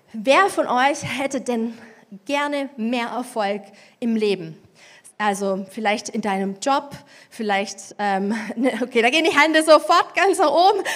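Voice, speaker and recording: Her voice high-pitched and animated, a woman swings very widely in pitch, speaking at a fairly slow pace with long, frequent pauses. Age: 40s. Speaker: preacher. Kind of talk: sermon. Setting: church.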